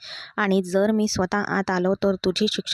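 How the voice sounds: Just a natural reading voice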